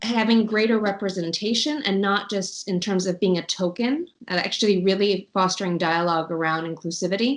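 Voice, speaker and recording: In an American accent, a woman with an ordinary speaking voice talks at a fairly quick pace, with ordinary pitch variation and hardly any pauses. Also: medium pitch for a woman. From New York, USA. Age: 40s. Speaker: intercultural management association head. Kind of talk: interview answer.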